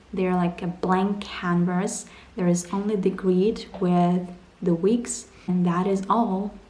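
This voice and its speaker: Intonation stays monotone and flat. The woman's delivery is very slow. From Ukraine, Donbass. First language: Ukrainian or Russian. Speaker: vlogger. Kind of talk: personal vlog narration.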